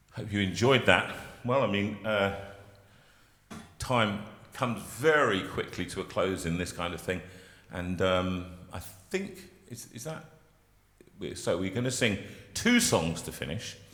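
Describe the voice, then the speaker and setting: Long, frequent pauses amid audible room echo. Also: man, fairly low pitch for a man, ordinary pitch variation. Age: 60s. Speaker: singer and carol service leader. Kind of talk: hosting a carol service. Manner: halting.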